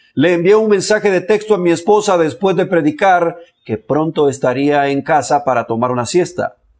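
Lively intonation marks a man's moderate-paced speech against a quiet background. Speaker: religious commentator. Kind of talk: commentary.

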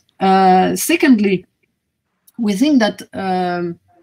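In a quiet background, a woman with a French accent speaks at a medium pitch with ordinary pitch variation. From France. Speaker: government strategy coordinator; panelist. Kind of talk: panel discussion. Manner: halting. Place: home room.

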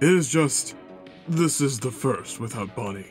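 A man puts on a character voice at a medium pitch and a fairly slow pace while clear music plays in the background. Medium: dub. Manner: soft, sad.

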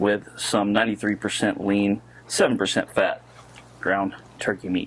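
A man speaks with noticeable background noise behind him. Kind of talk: cooking tutorial. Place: garden.

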